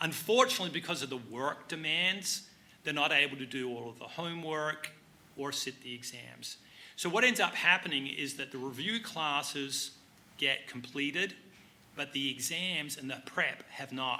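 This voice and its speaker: Speaking at a moderate pace, a man with a fairly high voice and ordinary pitch variation shows big swings in loudness. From Australia. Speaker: CPA exam review instructor. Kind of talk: panel Q&A.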